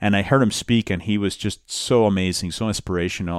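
A man with a Spanish accent and fairly even intonation. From Colombia, Bogota; moved to the US at 13. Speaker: immigrant rights nonprofit director. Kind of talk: interview conversation.

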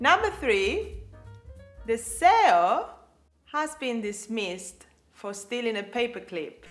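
Music plays behind a woman with a fairly high pitch. She speaks at a very slow pace, with long, frequent pauses, very wide pitch swings and big swings in loudness. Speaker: co-host practicing English pronunciation. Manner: reads practice sentences aloud.

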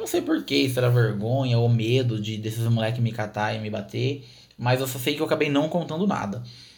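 Room echo is audible as a man talks at a fairly quick pace. His medium-pitched voice is somewhat breathy, with ordinary pitch variation. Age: 20s. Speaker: podcast host. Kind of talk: personal storytelling.

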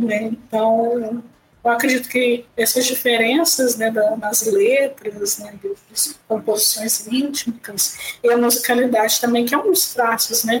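Her voice sits fairly high, and her intonation stays fairly even. Background noise is noticeable throughout. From Brazil, Volta Redonda (Rio de Janeiro state). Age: 20s. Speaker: theologian and project founder. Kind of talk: interview. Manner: halting.

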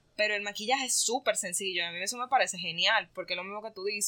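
On a very clean recording with a silent background, a woman speaks at a medium pitch. Her tone is bright and sharp, and the sound is dry and close, with no echo. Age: 20s. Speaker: podcast co-host. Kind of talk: casual chat.

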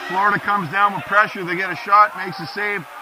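A man's high voice at a fairly quick pace over noticeable background noise. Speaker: color commentator and rink general manager, father of the goalie. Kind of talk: casual live color commentary. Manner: conversational, relaxed.

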